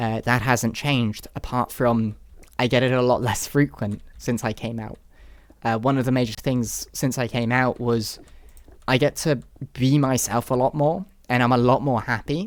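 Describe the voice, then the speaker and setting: Long, frequent pauses break up speech at a moderate pace in a British accent. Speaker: YouTuber. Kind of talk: personal testimony. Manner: halting.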